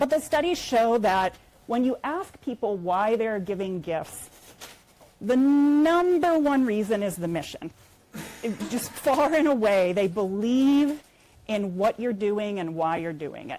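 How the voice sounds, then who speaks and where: A woman's fairly high, dark and mellow voice in an American accent, very slow, with very wide pitch swings and long, frequent pauses. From United States. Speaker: nonprofit fundraising executive. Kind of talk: conference talk. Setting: conference room with audience.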